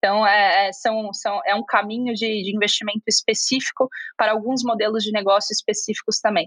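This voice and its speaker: Fairly quick and fairly high-pitched, a woman speaks in a plain, everyday voice with fairly even intonation. The sound is dry and close, with no echo. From Brazil, Curitiba. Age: 20s. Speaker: venture capital investor. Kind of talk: interview.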